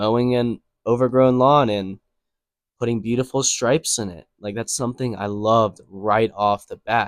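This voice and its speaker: A man with an American accent speaks at a medium pitch and moderate pace, his intonation fairly even. The recording is very clean, with a silent background and a dry, close sound with no echo. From US Northeast, Connecticut. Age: 20s. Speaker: landscaping business owner. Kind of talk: casual vlog talk to camera. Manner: casual, many fillers.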